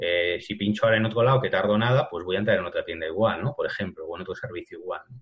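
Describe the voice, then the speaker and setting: Speaking at a very fast pace, a man talks in a fairly low pitch. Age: 40s. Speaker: digital ad specialist. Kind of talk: interview. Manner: halting.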